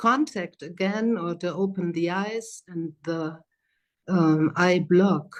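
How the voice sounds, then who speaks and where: Her pitch medium and its variation ordinary, a woman is speaking. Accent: German. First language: German. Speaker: psychotherapist and trainer. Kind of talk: lecture. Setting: video call. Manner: slow; hesitant.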